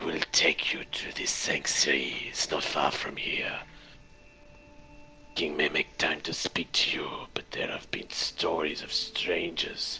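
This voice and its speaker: A man whispers in a put-on character voice, his delivery fairly slow. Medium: actual play. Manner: curt, threatening.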